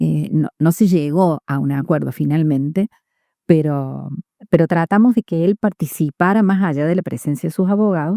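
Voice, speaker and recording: A woman speaks at a fairly slow pace, her pitch fairly low with ordinary variation. Her tone is dark and mellow, and the sound is dry and close with no echo. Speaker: judge. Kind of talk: interview. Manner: loud voice; halting, many fillers.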